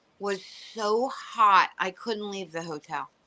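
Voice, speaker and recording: A woman with a Philadelphia accent, a bright, sharp tone, fairly high pitch, ordinary pitch variation, and a fairly slow pace. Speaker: stand-up comedian. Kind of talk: casual chat.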